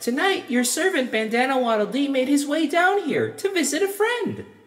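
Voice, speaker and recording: A put-on character voice, high in pitch, goes along at a moderate pace with a slight echo. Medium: audio drama. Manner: bubbly, friendly.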